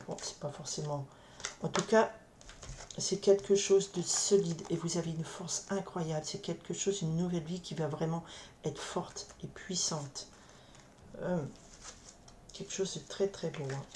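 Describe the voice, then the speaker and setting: Soft-spoken and fairly low in pitch, a woman talks at a fairly slow pace with fairly even intonation. She leaves long, frequent pauses. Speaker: tarot card reader. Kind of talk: tarot reading. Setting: others nearby, keeps voice down. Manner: halting, many repetitions. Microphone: camera mic, sound too quiet.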